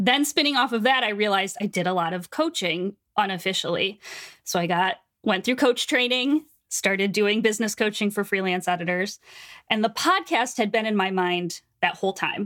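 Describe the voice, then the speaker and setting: A woman talks at a moderate pace in an animated tone with ordinary pitch variation. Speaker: book editor and business coach. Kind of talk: casual interview chat.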